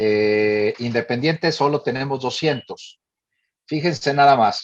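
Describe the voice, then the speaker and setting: A man's speech unfolds at a fairly slow pace, his intonation lively. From northern Mexico, Monterrey. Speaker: director of a family advocacy organization. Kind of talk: forum talk. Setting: panel forum.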